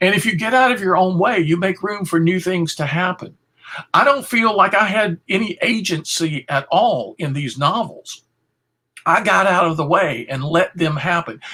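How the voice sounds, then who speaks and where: In a raised, projected voice, a man talks at a high pitch with a bright, sharp tone, lively intonation and a moderate pace. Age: 60s. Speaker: philosopher and author. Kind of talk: interview.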